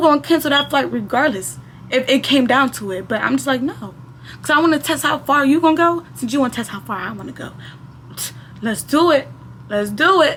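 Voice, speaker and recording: Noticeable background noise runs through the clip. A woman speaks with long, frequent pauses. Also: fairly quick pace. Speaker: storytime youtuber. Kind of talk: casual storytime monologue. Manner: animated.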